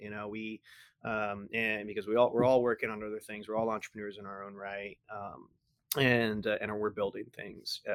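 Flat, monotone delivery from a man with an American accent, fairly low in pitch, moderate in pace, with big swings in loudness. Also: very clean recording, silent background. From Texas. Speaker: startup accelerator director. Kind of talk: casual interview. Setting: studio, in person.

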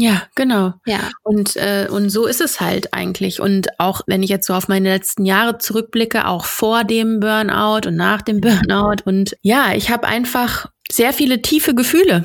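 With a plain, everyday voice, a woman speaks at a fairly high pitch and fairly slow pace with ordinary pitch variation and hardly any pauses. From North Rhine-Westphalia, Germany. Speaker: podcast host. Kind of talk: casual interview.

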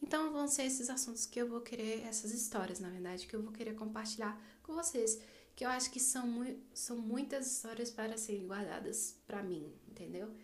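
A woman talks at a moderate pace in a fairly high, somewhat breathy voice. Her pitch varies in an ordinary way, and audible room echo surrounds her. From Brazil, Distrito Federal. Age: 20s. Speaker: podcaster, literature student. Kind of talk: casual monologue. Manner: halting.

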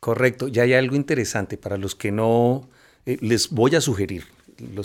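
A man speaks at a medium pitch and a moderate pace, with ordinary pitch variation. The recording is very clean, with a silent background. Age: 50s. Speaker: cartoonist. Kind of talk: casual chat. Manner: halting.

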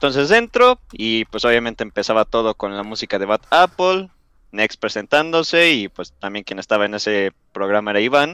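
A man speaks at medium pitch in a bright, sharp tone with lively intonation. The sound is dry and close with no echo, on a very clean recording with a silent background. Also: moderate pace. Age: young. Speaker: YouTuber. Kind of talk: casual chat.

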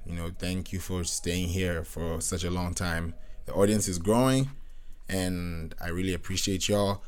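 This man has a very deep, low pitch and fairly even intonation. He speaks at a moderate pace, and room echo is audible. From Nigerian, raised in Kenya and Britain. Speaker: podcast host and music producer. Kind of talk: casual solo monologue. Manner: relaxed, rambling with fillers.

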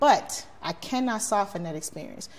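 A somewhat breathy woman at a moderate pace, with an American accent. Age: 40s. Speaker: community activist, social media page admin. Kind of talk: podcast interview. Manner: outspoken.

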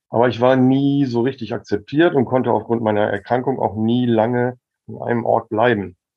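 Speaking in a plain, everyday voice, a man keeps a medium pitch and a moderate pace. His intonation is fairly even. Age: 50s. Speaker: medical cannabis expert and activist. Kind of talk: casual chat.

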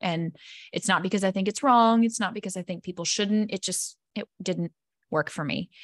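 A woman with a normal speaking voice talks at medium pitch and a moderate pace with ordinary pitch variation, in a dry, close sound with no echo over a quiet background. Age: 30s. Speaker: wellness coach. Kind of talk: casual chat.

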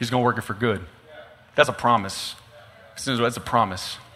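A man with an American accent speaks in an animated tone over noticeable background noise. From East Texas. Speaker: pastor. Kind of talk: sermon. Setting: venue with live audience.

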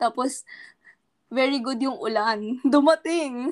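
High pitch and lively intonation from a woman speaking at a fairly slow pace. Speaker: podcast host. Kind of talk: casual Taglish chat. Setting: video call.

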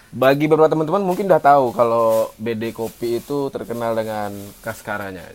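Very fast is the pace of this man's speech. He has a medium pitch. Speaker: podcast co-host. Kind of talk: casual chat. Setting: coffee shop.

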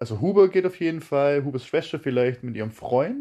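An unremarkable speaking voice from a man, fairly high in pitch, with lively intonation against a quiet background. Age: 20s. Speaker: podcast host. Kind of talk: casual chat.

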